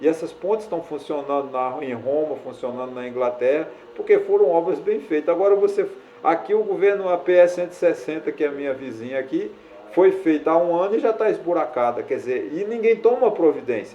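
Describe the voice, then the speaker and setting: A high-pitched man's voice with lively intonation amid noticeable background noise. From Brazilian Northeast. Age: 60s. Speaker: YouTuber, social commentator. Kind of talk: opinion monologue to camera. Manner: halting, with many fillers.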